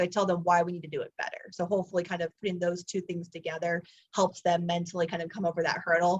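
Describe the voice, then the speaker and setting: This woman has a medium pitch. She talks at a fairly quick pace. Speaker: college soccer coach. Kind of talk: interview. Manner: fast; energetic.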